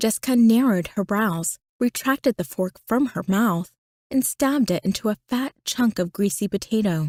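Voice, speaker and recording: At a moderate pace, a woman talks in a fairly high, somewhat breathy voice with lively intonation, the sound dry and close with no echo. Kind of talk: audiobook narration.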